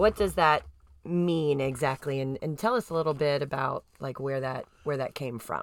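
Very clean recording of a woman, the background silent. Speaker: podcast host. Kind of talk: podcast conversation, interview.

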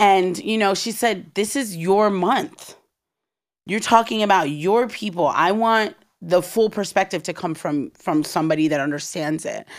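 Lively in intonation and medium in pitch, a woman with a normal speaking voice talks at a moderate pace on a very clean recording with a silent background. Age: 30s. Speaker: creative agency founder. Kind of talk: casual interview.

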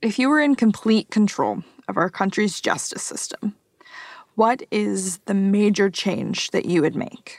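In a dry, close sound with no echo, a woman with a medium pitch and ordinary pitch variation talks at a fairly slow pace in an unremarkable speaking voice. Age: young. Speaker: podcast producer and co-host. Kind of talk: interview.

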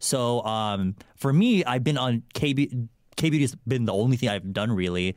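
A man with a General American accent speaks fairly slowly at a medium pitch in a plain, everyday voice, with ordinary pitch variation and very even loudness on a very clean recording with a silent background. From California. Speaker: YouTuber (K-beauty content creator). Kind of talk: casual chat.

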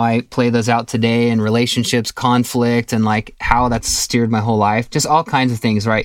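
In an American accent, a man speaks at a moderate pace and medium pitch with monotone, flat intonation, on a very clean recording with a silent background. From Southern California. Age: 40s. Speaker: musician. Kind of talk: interview.

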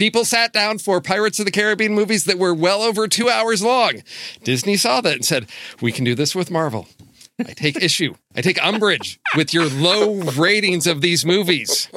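A man's raised, projected voice, high-pitched, with a bright, sharp tone, lively intonation, very even loudness and a moderate pace. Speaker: podcast co-host. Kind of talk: casual chat.

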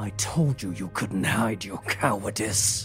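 Clear music plays in the background as a man growls in a put-on character voice. He speaks at a fairly low pitch and a fairly slow pace. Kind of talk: collector voice. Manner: growling.

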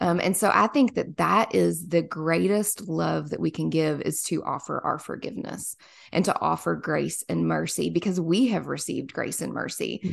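Against a quiet background, a woman with an American accent talks at a moderate pace with hardly any pauses. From US South, small-town Kentucky. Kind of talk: casual faith interview.

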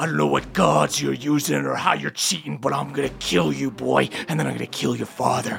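A man performs a put-on character voice at a fairly quick pace. Clear background noise sits behind him. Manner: menacing, threatening.

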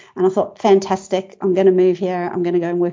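A woman speaks in a medium pitch. Her voice has vocal fry. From South Africa. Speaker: business consultant. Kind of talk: interview.

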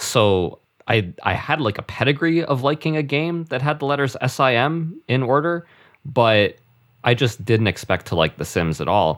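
Here a man uses a normal speaking voice at a moderate pace. His pitch is medium, with lively intonation. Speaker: guest podcaster. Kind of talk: casual chat.

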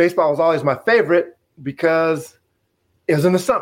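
A moderate pace is kept throughout. It is a plain, everyday voice. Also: man. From Wyoming, US. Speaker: retired baseball player. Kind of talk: interview.

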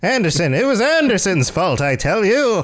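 A man puts on a character voice at a high pitch. His pitch swings very widely as part of the act. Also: moderate pace. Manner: melodramatic, villainous.

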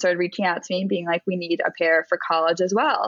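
A woman with a plain, everyday voice talks at a fairly low pitch with fairly even intonation. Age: 20s. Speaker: artist and business founder. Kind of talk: casual interview.

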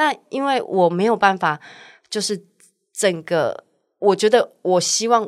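A woman with a Taiwanese accent, fairly high pitch and ordinary pitch variation, speaking at a very slow pace with long, frequent pauses. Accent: Taiwanese Mandarin. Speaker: restaurant owner. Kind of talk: casual chat.

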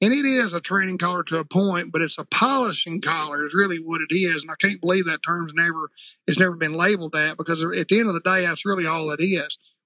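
Talking very fast with hardly any pauses, a man with a Southern US accent has a high pitch, ordinary pitch variation and a bright, sharp tone, captured in a dry, close sound with no echo. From Arkansas. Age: 50s. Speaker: retriever trainer. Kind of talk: casual chat.

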